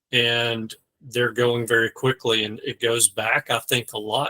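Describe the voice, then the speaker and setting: With a Southern US accent, a man talks at a medium pitch. His pace is moderate. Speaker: mortgage lender. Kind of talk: casual discussion.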